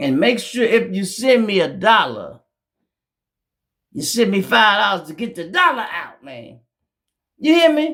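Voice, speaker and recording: A man speaks at a high pitch and a fairly slow pace, animated, with very wide pitch swings and big swings in loudness. His long, frequent pauses carry audible room echo. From Chicago. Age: 60s. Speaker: YouTube commentator. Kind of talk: casual monologue.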